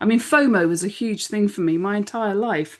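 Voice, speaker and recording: A woman with an English accent speaks at a medium pitch and a moderate pace. Her intonation is lively, and the background is quiet. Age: 50s. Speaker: business strategist and podcast co-host. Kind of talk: casual chat.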